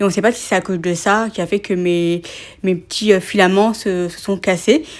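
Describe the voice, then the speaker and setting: At a moderate pace and a medium pitch, a woman speaks with fairly even intonation on a very clean recording with a silent background. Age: 20s. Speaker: writer and content creator, hard of hearing. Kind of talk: casual interview chat.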